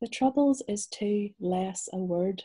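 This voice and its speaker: A woman speaks in a Northern Irish accent, her tone dark and mellow. She sounds somewhat breathy against a quiet background. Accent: Northern Irish (Belfast). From Northern Ireland, Belfast. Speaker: novelist. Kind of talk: interview and reading aloud. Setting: video call. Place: home room. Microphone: video call.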